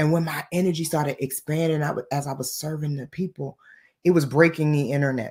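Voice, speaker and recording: An animated, somewhat breathy woman with a very deep, low pitch at a fairly quick pace. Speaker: spiritual business coach. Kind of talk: motivational talk.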